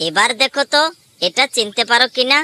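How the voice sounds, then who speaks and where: A high-pitched, cartoonish character voice from a woman. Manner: gentle, affectionate.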